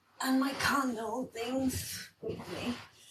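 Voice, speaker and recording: A woman speaks with an Italian accent. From Italy. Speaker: spiritual coach. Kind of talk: livestream chat. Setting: livestream. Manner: casual.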